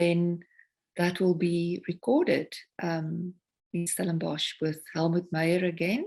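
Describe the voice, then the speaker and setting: A woman's fairly low voice in a South African accent, very slow and monotone, with flat intonation. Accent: South African (Afrikaans) English. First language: Afrikaans. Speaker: singer-songwriter. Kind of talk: interview conversation.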